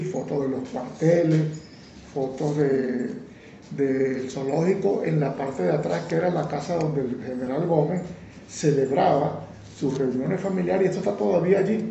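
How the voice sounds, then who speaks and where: Fairly high male pitch, lively intonation and a fairly slow pace from a man, with audible room echo. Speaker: lawyer and amateur photographer. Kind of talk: interview.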